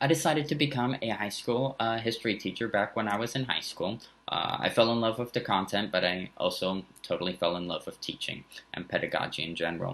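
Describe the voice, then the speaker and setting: A man with a slight German accent talks at a fairly quick pace, medium-pitched with lively intonation. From San Francisco Bay Area, early childhood in Germany. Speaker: high school social studies teacher. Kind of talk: teacher introduction video. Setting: recorded video for remote learning. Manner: casual, with frequent fillers.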